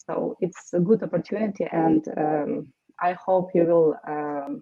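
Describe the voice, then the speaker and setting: With a Ukrainian accent, a woman speaks at a fairly slow pace. Her pitch is fairly low with ordinary variation. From Ukraine. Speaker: war widow. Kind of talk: testimony. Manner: halting.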